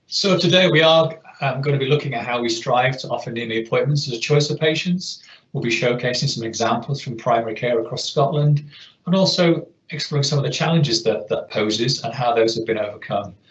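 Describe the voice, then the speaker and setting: A man's voice moves at a fairly quick pace, its pitch shifting in an ordinary way. The room adds audible echo. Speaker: webinar host. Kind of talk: webinar introduction.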